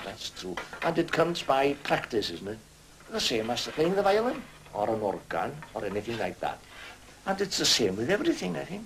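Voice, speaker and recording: With a north Welsh accent, a man speaks at a fairly high pitch with very wide pitch swings, long, frequent pauses, and noticeable background noise. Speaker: retired slate quarryman. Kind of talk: documentary interview.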